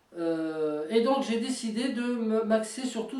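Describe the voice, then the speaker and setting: There is noticeable background noise as a woman speaks at a fairly high pitch with ordinary pitch variation. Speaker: tabletop wargame hobbyist. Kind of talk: casual talk to camera. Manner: hesitant, many fillers.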